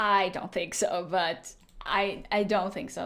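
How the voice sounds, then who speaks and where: The speaker has a non-native accent. The intonation stays fairly even. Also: woman. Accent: foreign accent in English. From Latvia. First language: Latvian. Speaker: video game streamer. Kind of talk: casual livestream chat. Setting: livestream.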